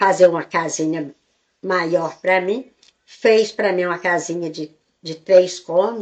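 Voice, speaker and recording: Speaking at a very slow pace, a woman uses a medium pitch with ordinary pitch variation and big swings in loudness. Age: 80s+. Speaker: elderly storyteller. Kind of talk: life story interview. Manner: halting.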